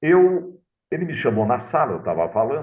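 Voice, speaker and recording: This is a man speaking. His pace is fairly slow. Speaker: radio announcer. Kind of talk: interview storytelling.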